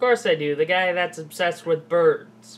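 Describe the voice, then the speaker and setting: This is a cartoonish character voice at a middle pitch. The pace is moderate. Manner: dry, sarcastic.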